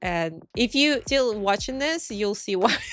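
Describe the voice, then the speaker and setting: A woman talks at a moderate pace with a Russian accent. Her pitch swings very widely. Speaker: pixel artist. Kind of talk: casual commentary. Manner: halting.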